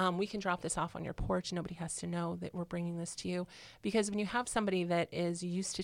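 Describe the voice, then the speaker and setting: On a very clean recording with a silent background, a woman with an American accent speaks at a fairly quick pace in a fairly low pitch. Hers is an unremarkable speaking voice with ordinary pitch variation. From Illinois, small country town. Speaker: single mother, home healthcare worker. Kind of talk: casual interview.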